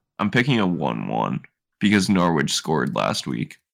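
A man with an American accent, a very deep, low pitch, vocal fry and very wide pitch swings, at a moderate pace in a very clean recording with a silent background. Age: 20s. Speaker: football podcast co-host. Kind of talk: casual chat.

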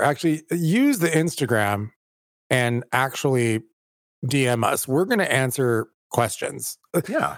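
An unremarkable speaking voice from a man at medium pitch, with lively intonation and an American accent. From California. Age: 40s. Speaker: theater director and podcast co-host. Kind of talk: casual chat.

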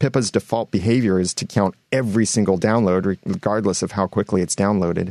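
Hardly pausing at all, a man rattles along at a very fast pace with a dark, mellow tone, fairly low pitch and fairly even intonation. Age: 30s. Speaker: podcasting expert and guest co-host. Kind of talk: casual chat.

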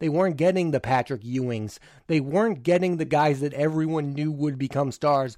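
A man with an unremarkable speaking voice, fairly high in pitch with ordinary pitch variation, talks at a moderate pace on a very clean recording with a silent background. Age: 20s. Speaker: podcast host, film reviewer. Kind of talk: solo podcast commentary.

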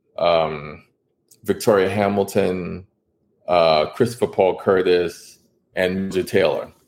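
A man with an American accent speaks very slowly in a very deep, low pitch and a monotone, flat intonation. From New York City, Washington Heights. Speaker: author and illustrator. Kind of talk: interview.

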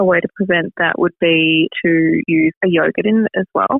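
Ordinary pitch variation in an Australian accent. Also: woman. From Melbourne, Australia. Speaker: beauty brand founder. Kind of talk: casual interview.

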